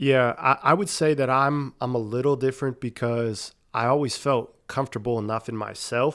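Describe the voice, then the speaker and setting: A man speaks with a normal speaking voice at a fairly slow pace. His intonation is fairly even. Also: very clean recording, silent background. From Pennsylvania (Erie). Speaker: sports coach, podcast guest. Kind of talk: interview.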